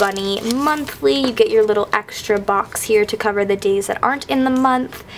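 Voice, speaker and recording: A woman talks at a fairly high pitch with ordinary variation in her pitch. Noticeable background noise can be heard. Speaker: YouTuber. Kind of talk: casual vlog haul. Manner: chatty, enthusiastic.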